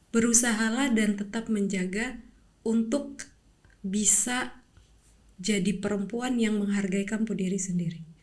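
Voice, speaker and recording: Somewhat breathy, the voice moves at a fairly slow pace with fairly even intonation in audible room echo. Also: woman, medium pitch for a woman. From Papua, Indonesia. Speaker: athlete. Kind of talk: interview. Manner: motivational.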